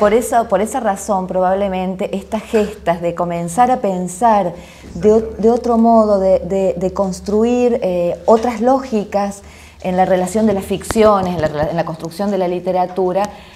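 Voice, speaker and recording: The speech moves at a fairly slow pace with ordinary pitch variation. Background noise is noticeable. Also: woman. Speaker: literature researcher. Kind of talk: interview question.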